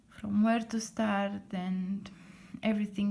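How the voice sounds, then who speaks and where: A woman with a non-native accent speaks at a very slow pace in a dark, mellow, somewhat breathy tone with fairly even intonation. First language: not English. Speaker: lettering artist. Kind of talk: casual tutorial talk to camera. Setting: at home late at night. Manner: halting with many fillers.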